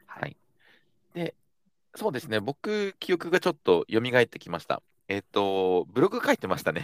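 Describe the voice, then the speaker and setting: In a dry, close recording with no echo, a man with a fairly high voice talks at a moderate pace, leaving long, frequent pauses, his loudness swinging widely and his pitch ranging very widely. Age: 30s. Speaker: startup founder and CEO. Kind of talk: casual chat.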